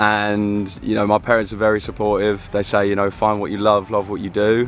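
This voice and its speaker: In an English accent, a man talks at a fairly quick pace with a fairly low pitch and a flat, monotone delivery. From London, England. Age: 20s. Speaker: pickleball pro. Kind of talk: interview.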